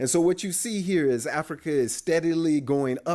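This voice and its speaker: The pace is moderate and the pitch varies in an ordinary way. The recording is very clean, with a silent background. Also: man. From US West Coast (Oakland, California). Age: 60s. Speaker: demographer. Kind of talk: lecture. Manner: casual, conversational.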